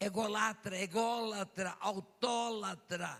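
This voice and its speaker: The voice is raised and projected, with a bright, sharp tone. It moves at a very slow pace with ordinary pitch variation. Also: man. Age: 80s+. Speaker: pastor. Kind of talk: sermon.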